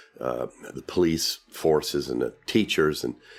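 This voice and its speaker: The speaker is a man. He talks with a South Carolina accent. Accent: Southern US (South Carolina). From US South, South Carolina. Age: 60s. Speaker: real estate developer. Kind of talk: interview. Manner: halting, many fillers.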